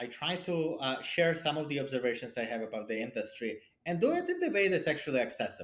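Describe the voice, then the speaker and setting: High-pitched male speech swinging very widely in pitch. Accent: non-native. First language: not English; English is his third language. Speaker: cybersecurity product leader and angel investor. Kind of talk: podcast interview. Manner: halting, many repetitions and fillers.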